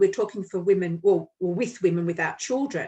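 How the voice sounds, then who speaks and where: The woman's pitch swings very widely. There is a somewhat breathy edge to her speech. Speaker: podcast host and Reiki healer. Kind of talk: casual chat.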